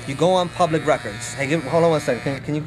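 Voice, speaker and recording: The man's pitch varies in an ordinary way. Behind him there is noticeable background noise. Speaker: real estate investing trainer. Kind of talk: tutorial; sales pitch. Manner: animated.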